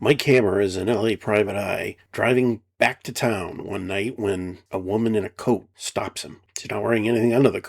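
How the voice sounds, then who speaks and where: A man puts on a raspy character voice, fairly low in pitch, speaking at a moderate pace with fairly even intonation, big swings in loudness and hardly any pauses. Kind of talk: late-night film commentary. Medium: solo performance. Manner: blunt, conversational, wry.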